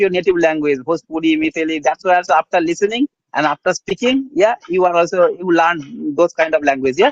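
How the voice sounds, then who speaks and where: With a Bengali accent, a man speaks at a fairly quick pace with hardly any pauses. His pitch is high, with ordinary variation. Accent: Bengali-accented Indian English. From India, rural West Bengal. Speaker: English learner. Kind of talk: casual chat. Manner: halting.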